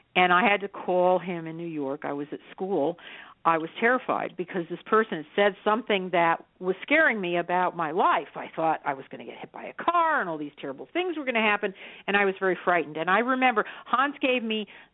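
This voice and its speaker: Here a woman with an ordinary speaking voice talks at medium pitch and a fairly quick pace. Her intonation is lively, with big swings in loudness. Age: 60s. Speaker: psychic medium. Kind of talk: radio interview.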